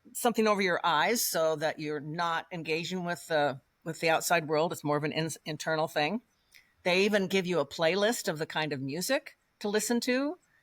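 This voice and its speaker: A woman talks in a normal speaking voice with an American accent at a moderate pace. The recording is very clean, with a silent background. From Colorado. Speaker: guest on interview podcast. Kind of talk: casual interview conversation.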